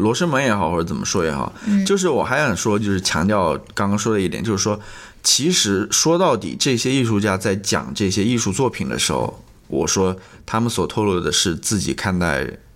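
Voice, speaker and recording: With vocal fry and a fairly low pitch, a man speaks at a fairly quick pace, his pitch swinging very widely. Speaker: podcast co-host. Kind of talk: casual chat.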